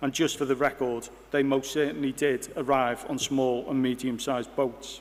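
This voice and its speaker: Here a man speaks at medium pitch and a moderate pace. His intonation is monotone and flat. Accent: Liverpool. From Liverpool, England (Bootle). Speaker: university vice-chancellor. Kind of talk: ceremonial speech. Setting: hall with audience. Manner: formal.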